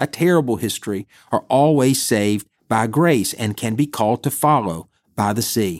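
Lively intonation in a dry, close sound with no echo, on a very clean recording with a silent background. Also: man. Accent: Alabama. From US South, Bessemer, Alabama. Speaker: Sunday school teacher and podcast host. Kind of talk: Bible teaching talk.

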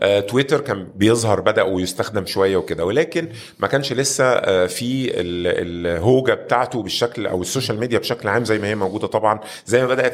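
A man at medium pitch, fairly quick pace and ordinary pitch variation. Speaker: entrepreneur and business consultant. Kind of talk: interview conversation.

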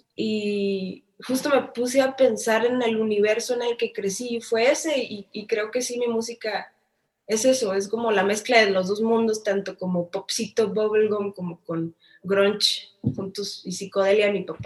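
Her pitch sits fairly high and varies in an ordinary way. This woman takes a fairly slow pace. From Mexico, Tijuana. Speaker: singer-songwriter. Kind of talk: interview.

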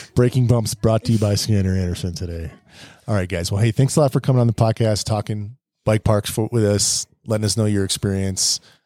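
A man's fairly low, dark and mellow voice at a fairly quick pace, with fairly even intonation, recorded dry and close with no echo in a very clean recording with a silent background. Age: 40s. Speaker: podcast host, mountain biker, father. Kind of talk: casual chat. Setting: bike park lodging, evening recording.

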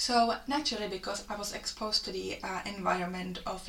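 At a moderate pace and medium pitch, a woman speaks with ordinary pitch variation amid noticeable background noise and audible room echo. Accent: Czech. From Czech Republic. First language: Czech. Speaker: fitness coach. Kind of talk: solo podcast monologue.

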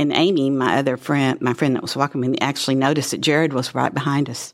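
Very fast, monotone, flat speech on a very clean recording with a silent background. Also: woman. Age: 70s. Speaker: church volunteer, former preschool minister. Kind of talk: casual interview, storytelling.

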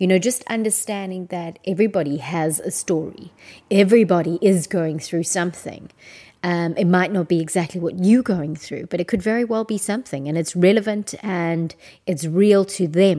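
A woman's voice has a dark, mellow tone. The recording is very clean, with a silent background. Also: medium pitch for a woman, ordinary pitch variation, moderate pace. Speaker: podcast host. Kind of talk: solo personal monologue. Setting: at home. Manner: hesitant, many fillers.

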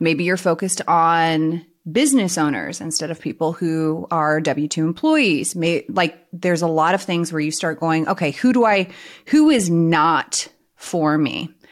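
A woman's unremarkable speaking voice, fairly low in pitch with ordinary pitch variation and a fairly slow pace, on a very clean recording with a silent background. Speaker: insurance coach and podcast host. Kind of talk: casual co-hosted podcast chat.

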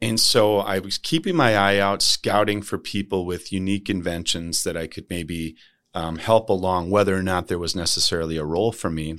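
In an American accent, the speaker moves at a fairly quick pace with fairly even intonation and hardly any pauses. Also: man, very deep, low pitch for a man, very clean recording, silent background. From Minnesota, St. Paul. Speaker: medical device company CEO. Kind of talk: interview. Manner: passionate.

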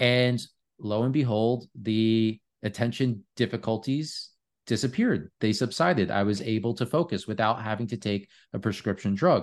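With an unremarkable speaking voice, a man at medium pitch talks at a moderate pace with ordinary pitch variation against a quiet background. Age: 30s. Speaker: health company founder and longevity advocate. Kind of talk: interview.

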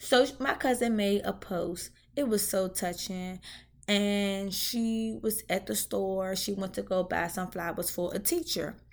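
In an American accent, a woman with a medium pitch and an animated tone talks at a fairly slow pace with ordinary pitch variation, on a very clean recording with a silent background. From Washington DC (Southeast, Ward 8). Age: 30s. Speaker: podcast host. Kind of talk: casual monologue.

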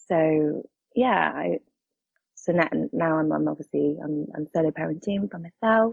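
A woman with a very deep, low voice speaks at a fairly slow pace with lively intonation. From Cornwall, southwest England. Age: 30s. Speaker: podcast guest, solo parent. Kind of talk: personal testimony.

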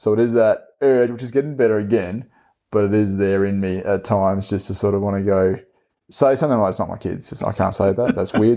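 In an Australian accent, a man speaks with a fairly low pitch, fairly even intonation and a dark, mellow tone. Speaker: podcast host, teacher. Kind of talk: casual chat.

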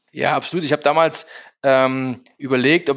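A man's voice sits at a medium pitch and varies in pitch in an ordinary way, with a quiet background behind it. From Saxony, Germany (Zwickau). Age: 40s. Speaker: recruitment company executive, former footballer. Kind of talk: interview. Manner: frequent fillers, hesitant.

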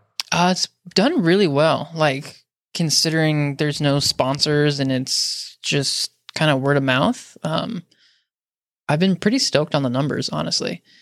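A man with a normal speaking voice talks at a fairly slow pace, his pitch fairly high and varying in an ordinary way, the sound dry and close with no echo. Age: 30s. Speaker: podcast host. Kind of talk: casual chat. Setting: video call.

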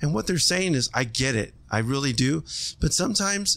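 A man with an American accent talks at a fairly quick pace in a fairly high pitch, an ordinary speaking voice. The recording is very clean, with a silent background. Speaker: former firefighter and restaurant family owner. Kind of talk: casual interview.

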